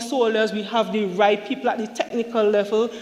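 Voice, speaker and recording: A woman talks at a moderate pace in a fairly high pitch, with noticeable background noise behind her. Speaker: government minister. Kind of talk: parliamentary budget speech. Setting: parliament chamber. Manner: formal.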